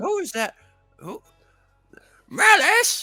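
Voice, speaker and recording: Someone performs a put-on character voice over faint music in the background. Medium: actual play.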